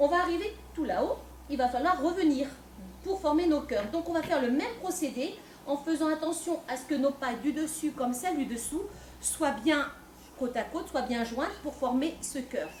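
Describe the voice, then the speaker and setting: A woman speaks loudly at a moderate pace with high pitch and ordinary pitch variation. Audible room echo and noticeable background noise accompany her. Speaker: folk dance group member presenting costume. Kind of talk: live presentation to an audience. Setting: stage with audience, no microphone. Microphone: no microphone, speaking unamplified.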